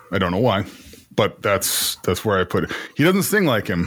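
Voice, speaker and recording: The speaker is a man with an American accent. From Iowa, US Midwest. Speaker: podcast host. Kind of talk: casual chat.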